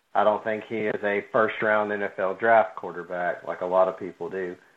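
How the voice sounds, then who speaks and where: Ordinary pitch variation and a moderate speed in a normal speaking voice. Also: man. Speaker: sports podcast co-host. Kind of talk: casual chat.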